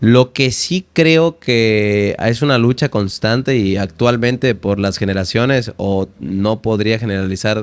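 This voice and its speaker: A man's plain, everyday voice, medium in pitch with ordinary pitch variation, fairly slow and with hardly any pauses. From Veracruz, Mexico. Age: 20s. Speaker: language teacher and poet. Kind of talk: interview answer.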